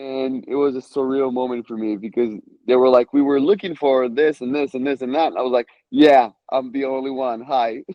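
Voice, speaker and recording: With a slight Israeli accent, a man speaks at a moderate pace in a medium pitch, his intonation fairly even. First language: Hebrew. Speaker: stand-up comedian. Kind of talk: casual interview. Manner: halting, many fillers.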